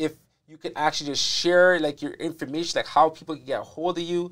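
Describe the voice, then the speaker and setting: Against a quiet background, a man speaks at a fairly quick clip with a high pitch. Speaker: podcast host. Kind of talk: casual interview. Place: studio. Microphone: lapel.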